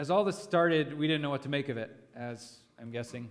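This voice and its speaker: Speaking at a very fast pace, a man shows ordinary pitch variation. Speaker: pastor leading a devotion. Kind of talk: sermon. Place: church. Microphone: headset.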